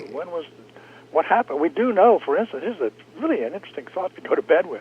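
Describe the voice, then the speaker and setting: A man talks very fast at a high pitch, his pitch swinging very widely. Noticeable background noise runs underneath. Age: 80s+. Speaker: retired space engineer. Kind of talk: radio interview. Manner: animated.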